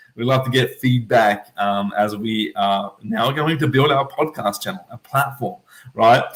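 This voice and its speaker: Somewhat breathy, a man speaks at a medium pitch and a moderate pace. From Australia, Melbourne (Eltham). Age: 20s. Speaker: podcast host, travel entrepreneur. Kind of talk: casual podcast monologue, livestream. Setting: at home, livestream. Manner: animated, filler-heavy.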